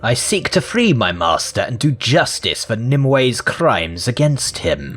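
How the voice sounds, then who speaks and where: Over clear background music, a man speaks in a put-on character voice at medium pitch and a moderate pace. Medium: game stream.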